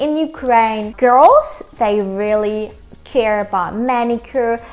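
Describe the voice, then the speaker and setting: Music plays in the background while a woman speaks. Her pitch is fairly high and her pace fairly slow. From Ukraine. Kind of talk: casual talk to camera.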